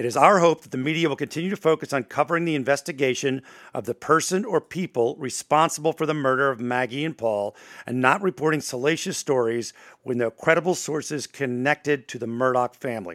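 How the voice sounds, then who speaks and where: Very fast speech from a man at a fairly high pitch with ordinary pitch variation, in a very clean recording with a silent background and a dry, close sound with no echo. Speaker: podcast host and morning radio personality. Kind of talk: casual true crime discussion.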